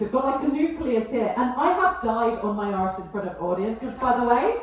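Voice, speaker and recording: A woman speaks in a high, animated voice. Noticeable background noise and audible room echo fill the recording. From England, Essex. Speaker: stand-up comedian. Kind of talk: stand-up. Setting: stage with audience.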